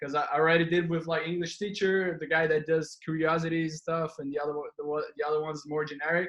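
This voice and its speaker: Speaking with a Brazilian accent, a man uses a high pitch and a bright, sharp tone at a fairly quick pace, with fairly even intonation and hardly any pauses. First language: Portuguese. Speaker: podcast host. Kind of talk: podcast interview. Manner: halting.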